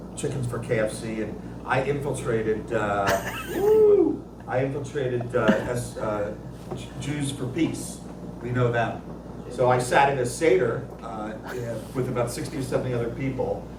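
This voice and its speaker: A man at a moderate pace with long, frequent pauses, amid noticeable background noise and audible room echo. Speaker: audience member. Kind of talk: audience question.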